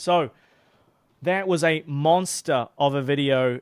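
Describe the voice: Speaking at a fairly slow pace, a man uses a fairly high voice with a clear, smooth, slightly mellow tone and ordinary pitch variation.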